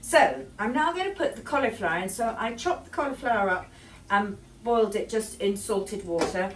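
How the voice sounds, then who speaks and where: Speech at a fairly quick pace swings very widely in pitch over noticeable background noise. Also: woman, fairly high pitch for a woman. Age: 70s. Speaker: home cooking vlogger. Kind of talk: cooking tutorial. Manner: casual, hesitant with fillers.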